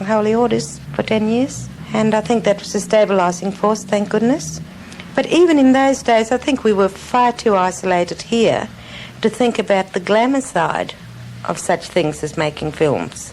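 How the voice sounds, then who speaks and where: A woman at a medium pitch talks over noticeable background noise. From Central Australia, Utopia station. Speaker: former film actress. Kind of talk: interview.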